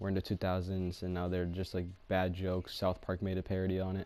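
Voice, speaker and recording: A man speaks at a very deep, low pitch. His tone is dark and mellow. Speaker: YouTuber. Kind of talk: casual chat. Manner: monotone; halting.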